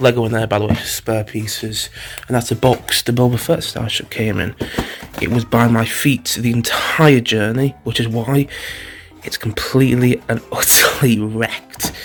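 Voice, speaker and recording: A soft-spoken man at medium pitch, fairly even intonation and moderate pace, with noticeable background noise. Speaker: vlogger and film channel host. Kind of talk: casual vlog narration. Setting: indoors in holiday home living room. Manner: quiet, speaking softly.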